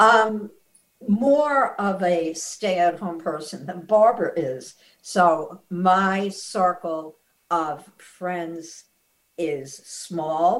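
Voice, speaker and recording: This woman speaks at a very slow pace. Her intonation is lively. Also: fairly low pitch for a woman. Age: 70s. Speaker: author and former journalism instructor. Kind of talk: casual interview.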